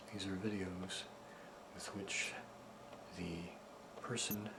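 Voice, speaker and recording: A soft-spoken man with a fairly low pitch talks very slowly in a gentle, nervous tone, leaving long, frequent pauses. His intonation stays monotone and flat, and there is noticeable background noise. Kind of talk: soft-spoken ASMR video with informative demonstration. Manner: soft-spoken, gentle, slightly nervous.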